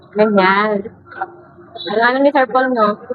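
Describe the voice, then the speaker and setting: A woman with a fairly high pitch and fairly even intonation over noticeable background noise. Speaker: reaction video creator. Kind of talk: casual video reaction commentary.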